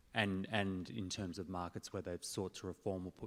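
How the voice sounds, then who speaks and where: With a very deep, low pitch, a man talks at a moderate pace. His delivery stays monotone and flat. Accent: Australian. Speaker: audience member asking question. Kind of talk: audience question.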